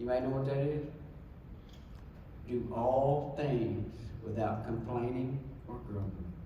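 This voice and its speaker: Speaking very slowly with long, frequent pauses and fairly even intonation, a man is heard amid noticeable background noise and audible room echo. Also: medium pitch for a man. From Texas, Dallas. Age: 60s. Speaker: speaker giving personal testimony. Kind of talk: testimony.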